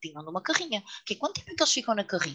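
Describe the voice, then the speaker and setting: Dry and close with no echo, a woman's fairly high voice has a bright, sharp tone. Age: 40s. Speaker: yoga teacher and author. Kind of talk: casual chat.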